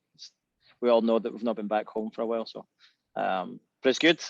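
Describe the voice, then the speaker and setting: A man with a west of Scotland accent speaks at a medium pitch in a dry, close sound with no echo. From Scotland, Irvine, Ayrshire. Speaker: musician. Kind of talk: casual chat. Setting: video call from back porch.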